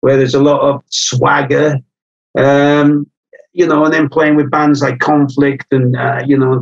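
With a Welsh accent and fairly high pitch, a man speaks at a fairly slow pace with fairly even intonation in a dry, close sound with no echo. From North Wales, Anglesey. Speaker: punk drummer. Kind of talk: interview conversation.

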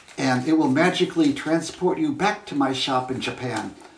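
A man is speaking. Room echo is audible around his voice. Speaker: origami storyteller. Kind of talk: storytelling. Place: home room. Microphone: camera far.

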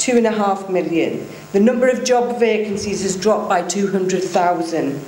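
Fairly slow delivery with ordinary pitch variation, audible room echo and light background noise. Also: woman. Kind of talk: speech. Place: hall. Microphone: podium.

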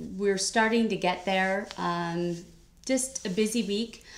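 Ordinary pitch variation marks this woman's speech in an American accent. She talks at a very slow pace. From California. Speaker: cross-stitch YouTuber. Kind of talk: casual vlog chat. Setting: home sewing room. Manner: casual with many fillers. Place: home room. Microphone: webcam.

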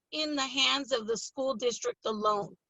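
Loud and lively in intonation, a woman with a high voice speaks with an American accent. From California, Pittsburg (Bay Area). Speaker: school board candidate. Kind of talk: interview. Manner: loud, animated.

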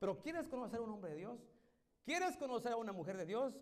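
Behind the voice, all is quiet. The man's intonation is lively. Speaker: evangelical pastor. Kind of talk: sermon. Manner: stutters when preaching. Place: church. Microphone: handheld.

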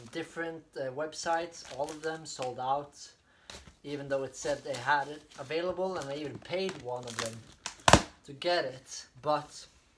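Loud background noise behind a man talking at a moderate pace. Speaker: unboxing vlogger. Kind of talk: casual vlog chat. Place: home room. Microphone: camera far.

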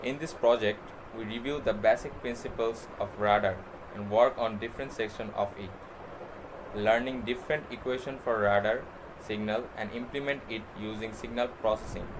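A man at medium pitch, moderate pace and fairly even intonation, over noticeable background noise. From Bangladesh. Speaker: university student; presenter. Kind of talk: class project presentation. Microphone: webcam.

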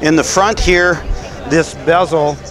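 Clear music plays behind a man as he talks. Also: dry sound with no echo. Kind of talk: explanatory walkaround. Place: stadium.

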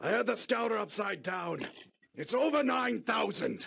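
A man's raspy, put-on character voice, high in pitch, at a moderate pace. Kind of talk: dramatic speech. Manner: haughty, sarcastic, angry.

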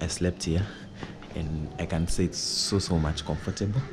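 A man's very deep, low voice with ordinary pitch variation, set against noticeable background noise. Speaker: vlogger giving an apartment tour. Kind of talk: casual vlog chat. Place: home room. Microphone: phone near.

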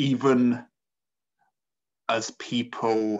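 A man performs a put-on character voice. It sounds strained. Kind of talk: earnest tabletop roleplay. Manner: restrained, conflicted, resigned.

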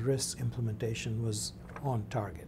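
A dark, mellow, somewhat breathy tone at a fairly slow pace, with ordinary pitch variation and light background noise. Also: man. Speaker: oral history interviewer. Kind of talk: interview questions. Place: studio.

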